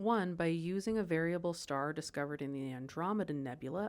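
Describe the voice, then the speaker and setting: Talking at a fairly quick pace with an American accent, a woman uses a normal speaking voice, fairly low in pitch, with ordinary pitch variation. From United States. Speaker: science educator. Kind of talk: scripted narration; casual aside.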